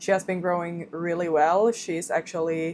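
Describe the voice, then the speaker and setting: A woman speaks with a Swedish accent. Her pitch is fairly low. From Finland, Swedish-speaking minority. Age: 20s. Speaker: vlogger, new mother. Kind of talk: casual vlog chat. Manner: halting, self-correcting.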